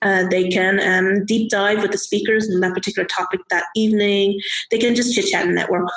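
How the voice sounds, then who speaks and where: The voice has a Dublin accent and a monotone, flat intonation, moving at a fairly quick pace with very even loudness. Noticeable background noise runs behind it. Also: woman, medium pitch for a woman. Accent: Irish (Dublin). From Ireland (Irish Chinese, Dublin). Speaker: software engineer and community organizer. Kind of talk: casual interview chat. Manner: halting, many fillers.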